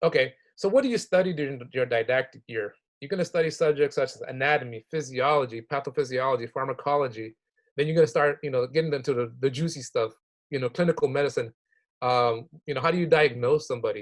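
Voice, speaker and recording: A man with a fairly high voice talks at a very fast pace, his pitch varying in an ordinary way. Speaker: health professions advisor. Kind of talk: online workshop presentation.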